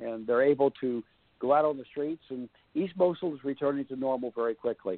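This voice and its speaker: A man speaks at a fairly high pitch with ordinary pitch variation. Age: 60s. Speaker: foreign policy author and former journalist. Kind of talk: radio interview. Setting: phone call.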